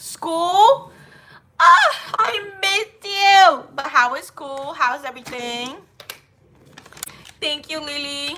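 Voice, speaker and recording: At a very slow pace with long, frequent pauses, a woman uses a raised, projected voice, high pitch, lively intonation and big swings in loudness. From Haiti. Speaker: livestreamer. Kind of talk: casual livestream chat.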